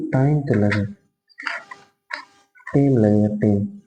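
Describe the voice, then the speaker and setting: Over background music, a man speaks with ordinary pitch variation. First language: Bhojpuri (speaking Hindi). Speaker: maths teacher. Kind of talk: tutorial. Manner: animated, conversational.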